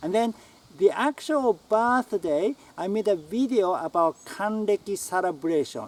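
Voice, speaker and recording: A man speaks at a fairly slow pace with a Japanese accent and a high pitch. The sound is dry and close, with no echo. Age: 60s. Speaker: writer. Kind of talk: casual talk to camera. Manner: halting.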